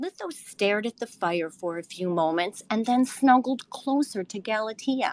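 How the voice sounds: With lively intonation, someone reads in a natural voice.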